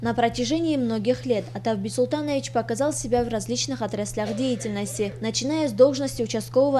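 A woman rushes along at a very fast pace while noticeable background noise continues. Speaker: TV news reporter. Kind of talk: TV news report narration.

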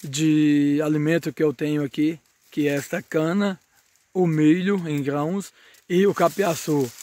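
In a dry sound with no echo, a man speaks at a very slow pace with ordinary pitch variation. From Brazil, northern Minas Gerais. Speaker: small farmer and video creator. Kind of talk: casual vlog tutorial. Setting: outdoors in a sugarcane field. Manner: halting, with many fillers. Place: farm machine. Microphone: phone near.

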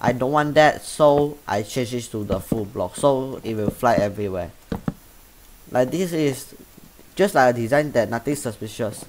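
With noticeable background noise around him, a man speaks at a moderate pace using lively intonation. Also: medium pitch for a man. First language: Chinese. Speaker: gaming YouTuber. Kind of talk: tutorial. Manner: halting.

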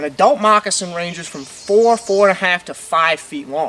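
Here a man uses a raised, projected voice. His intonation is lively. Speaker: presenter. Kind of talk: commentary. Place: forest. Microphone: camera far.

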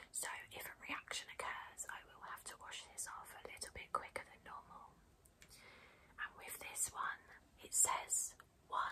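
A woman whispers at a fairly slow pace, her tone calm. Her loudness swings widely from moment to moment. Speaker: beauty blogger / YouTuber. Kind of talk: ASMR unboxing and pamper video, soft-spoken talk to camera. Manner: soft-spoken, calm, relaxing, whispery. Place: home room.

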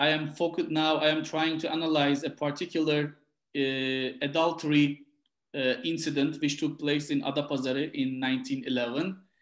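A man with a Turkish accent, fairly high in pitch, at a moderate pace, with monotone, flat intonation, very even loudness and a quiet background. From Turkey, Gaziantep; Turkey. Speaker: historian, book author. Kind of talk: interview about his book. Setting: video call. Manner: halting, many repetitions. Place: home room. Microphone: webcam.

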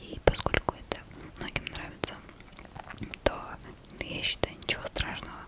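A soft-spoken woman whispers at a moderate pace. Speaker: ASMR creator. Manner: close soft ASMR whisper. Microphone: studio mic.

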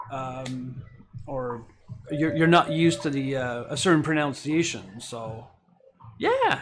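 A man speaks in a Quebec accent with a fairly high pitch and ordinary pitch variation. Noticeable background noise runs behind him. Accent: Québécois French accent in English. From Quebec, Canada. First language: French. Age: 40s. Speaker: Lego building streamer. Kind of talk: live stream chat while building. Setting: live Twitch stream. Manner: casual, hesitant with fillers. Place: home room.

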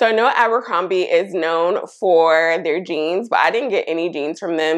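A woman speaks at a fairly slow pace and a fairly low pitch. Her pitch variation is ordinary, and the background is quiet. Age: 30s. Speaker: fashion YouTuber. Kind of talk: try-on haul. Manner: animated. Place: home room. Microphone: lapel.

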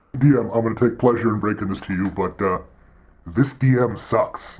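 A man's voice sits at a medium pitch, moving at a moderate pace with fairly even intonation. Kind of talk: comic villain acting. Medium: comedy sketch. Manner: taunting, gloating, sarcastic.

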